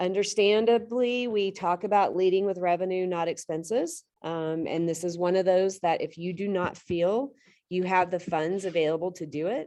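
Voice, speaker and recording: A woman's medium-pitched voice with a dark, mellow tone, fairly even intonation, a moderate pace and hardly any pauses. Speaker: real estate trainer. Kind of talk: lecture. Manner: loud.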